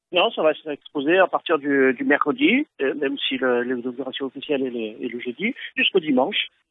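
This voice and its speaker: A man at a fairly high pitch, in a plain, everyday voice, with lively intonation, a fairly quick pace and hardly any pauses. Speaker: ukulele club founder. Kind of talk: phone interview. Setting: phone call. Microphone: phone-quality sound.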